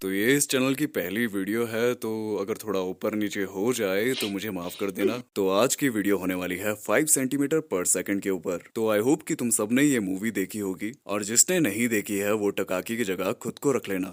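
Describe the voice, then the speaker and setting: In a very clean recording with a silent background, a man has an ordinary speaking voice with fairly low pitch and ordinary pitch variation. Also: hardly any pauses. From India. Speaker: voice artist. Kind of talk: casual talk to camera.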